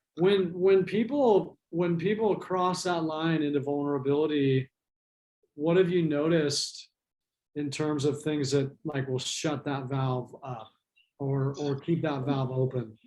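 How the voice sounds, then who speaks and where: A man speaks in a normal speaking voice. His pace is fairly slow. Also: fairly high pitch for a man, ordinary pitch variation. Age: 50s. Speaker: interviewer. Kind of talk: interview.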